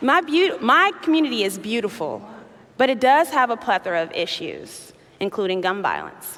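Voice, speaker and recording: A woman with a Chicago accent speaks at a moderate pace over noticeable background noise. Her fairly high voice makes very wide pitch swings. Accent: Chicago American English. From US Midwest, south side of Chicago. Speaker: youth activist. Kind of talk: keynote speech. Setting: stage with audience.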